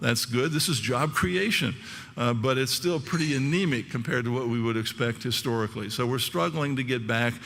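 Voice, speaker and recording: A man talks at a fairly quick pace in a medium pitch, with ordinary pitch variation and very even loudness. Audible room echo surrounds his voice. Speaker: economist. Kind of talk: conference talk. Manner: fast.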